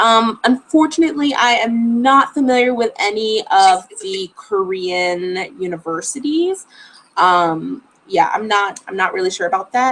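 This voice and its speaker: A woman's fairly high voice with an American accent and very wide pitch swings. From Florida. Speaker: travel vlogger. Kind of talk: live stream Q&A. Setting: live stream at home. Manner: casual, chatty.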